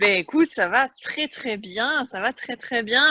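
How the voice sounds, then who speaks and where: A woman speaks in a raised, projected voice at a high pitch and a very slow pace, her bright, sharp tone and lively intonation caught in a dry, close sound with no echo. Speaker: interviewer, sales training partner. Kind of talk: interview questions.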